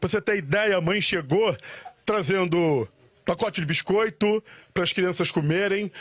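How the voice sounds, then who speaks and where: A man speaks at a moderate pace in a high pitch, his pitch varying in an ordinary way. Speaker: field reporter. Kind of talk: live TV news reporting. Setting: outdoors, on location. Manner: emotional, earnest.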